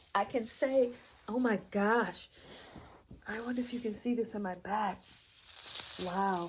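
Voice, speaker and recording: Her pitch is fairly high and her intonation fairly even, with a somewhat breathy quality. The woman speaks at a fairly slow pace with long, frequent pauses. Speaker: wellness practitioner. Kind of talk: casual video demonstration. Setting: lying on acupressure mat on camera. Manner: halting, stumbling over words.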